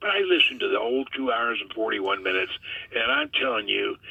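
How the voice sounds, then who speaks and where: A man speaks against noticeable background noise. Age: 70s. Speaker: guest pilot discussing UFO topics. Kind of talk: casual interview chat.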